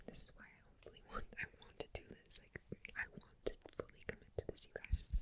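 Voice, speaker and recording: Whispering at a fairly quick pace, a woman speaks with big swings in loudness. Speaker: ASMR creator. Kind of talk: ASMR whispered Q&A to camera. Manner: whispered, soft-spoken.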